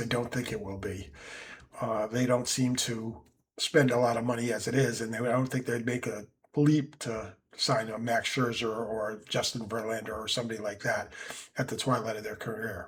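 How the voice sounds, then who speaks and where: A somewhat breathy man speaks at a medium pitch. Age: 70s. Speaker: sports commentator. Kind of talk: casual monologue. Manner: hesitant, many filler words.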